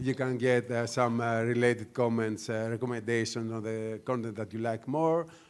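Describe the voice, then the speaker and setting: Delivered at a moderate pace, the speech has fairly even intonation and a Greek accent. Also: man. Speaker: news media executive. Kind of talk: conference panel talk. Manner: hesitant, many fillers.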